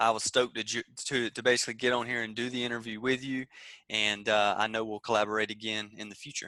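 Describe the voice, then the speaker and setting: This man has a medium-pitched voice with a bright, sharp tone in a Southern US accent, talking at a very fast pace in a very clean recording with a silent background. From US South, Georgia. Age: 20s. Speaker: entrepreneur. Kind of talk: interview. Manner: animated.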